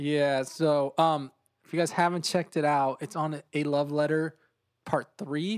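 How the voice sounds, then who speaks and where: This man has a plain, everyday voice, a fairly high pitch, and fairly even intonation, and he talks at a moderate pace. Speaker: podcast host. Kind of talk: casual chat. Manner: casual, laid-back.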